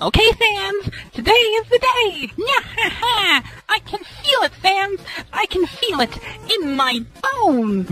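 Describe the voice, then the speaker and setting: Over music in the background, a put-on character voice moves at a fairly slow pace with long, frequent pauses. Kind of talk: comic overacting. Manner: loud, enthusiastic, grandiose.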